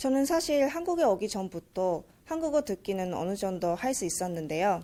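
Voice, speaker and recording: A woman's dark, mellow voice at medium pitch, with very wide pitch swings at a moderate pace on a very clean recording with a silent background. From Japan. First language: Japanese (speaking Korean). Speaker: university student, speech contestant. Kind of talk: speech contest speech.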